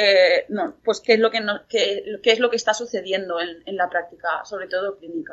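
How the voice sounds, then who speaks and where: A woman speaks in a plain, everyday voice at a medium pitch and moderate pace, with ordinary pitch variation and hardly any pauses. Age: 20s. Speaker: psychology student and mental health patient. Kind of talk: interview testimony.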